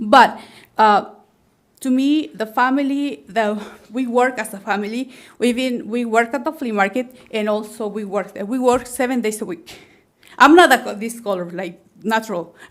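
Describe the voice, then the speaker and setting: A woman with a strong non-native accent speaks at a moderate pace and a fairly high pitch, with ordinary pitch variation and big swings in loudness. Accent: very strong foreign. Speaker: plant nursery owner and realtor. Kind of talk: public testimony at planning meeting. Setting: public meeting room. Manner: halting, many fillers and restarts.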